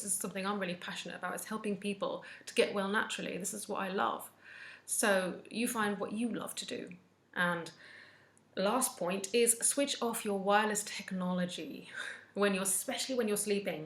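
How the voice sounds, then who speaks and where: Somewhat breathy female speech at a fairly quick pace. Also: medium pitch for a woman, ordinary pitch variation. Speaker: wellness vlogger, mental health nurse. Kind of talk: casual advice talk to camera. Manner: occasional stumbling over words.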